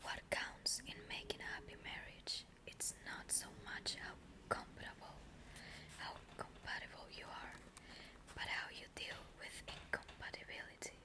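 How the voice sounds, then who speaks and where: Someone whispers at a fairly slow pace, leaving long, frequent pauses, over noticeable background noise. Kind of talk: reading aloud from a book with commentary. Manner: whispered.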